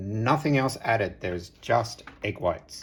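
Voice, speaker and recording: A man speaks with an Australian accent. His fairly low voice shows ordinary pitch variation. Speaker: home cook. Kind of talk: cooking tutorial.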